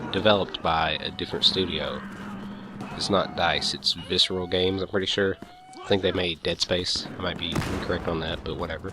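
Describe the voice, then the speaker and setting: A man speaks with a very deep, low pitch. Noticeable background noise runs under his voice. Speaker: gaming youtuber. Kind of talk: gameplay commentary. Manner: casual, rambling with stumbles; fast.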